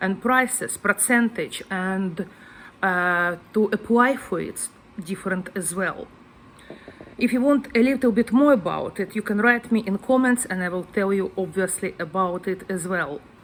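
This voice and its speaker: Fairly slow delivery with a Ukrainian accent. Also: woman, medium pitch for a woman, ordinary pitch variation. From Ukraine. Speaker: guest house owner. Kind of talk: casual vlog talk. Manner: hesitant, non-native phrasing.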